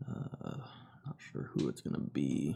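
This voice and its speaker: A man speaks quietly. His pace is very slow. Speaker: gaming streamer. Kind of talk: live stream reaction. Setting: home live stream, no webcam.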